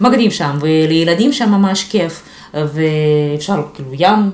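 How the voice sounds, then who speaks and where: A woman's fairly low voice in a Russian accent, with audible room echo and noticeable background noise. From Ukraine, Luhansk region. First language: Russian (speaking Hebrew). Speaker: SEO specialist. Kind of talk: casual interview.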